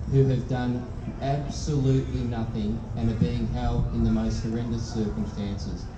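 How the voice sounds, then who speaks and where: A man speaks at a moderate pace. There is noticeable background noise. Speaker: politician giving a speech. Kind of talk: public speech. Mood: solemn, grave. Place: stage.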